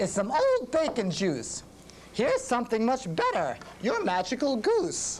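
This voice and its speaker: Through clear background noise, a female-sounding voice puts on a high-pitched character voice at a moderate pace. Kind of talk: bedtime story. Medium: read story.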